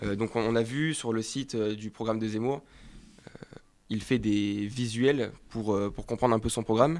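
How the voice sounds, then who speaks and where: A man speaks in a normal speaking voice at a medium pitch, with fairly even intonation and a moderate pace. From France, Var (Provence). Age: 20s. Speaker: political youth campaigner. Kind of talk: political interview.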